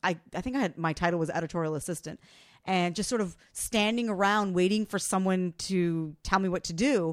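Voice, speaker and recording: An unremarkable speaking voice talks at a fairly quick pace with ordinary pitch variation. The recording is very clean, the background silent. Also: woman, medium pitch for a woman. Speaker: personal finance expert and broadcast journalist. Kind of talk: casual interview storytelling. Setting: studio.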